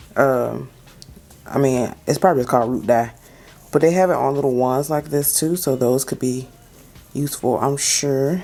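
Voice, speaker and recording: With music in the background, a woman with a very deep, low pitch talks at a moderate pace and ordinary pitch variation. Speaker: beauty YouTuber. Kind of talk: casual tutorial talk to camera.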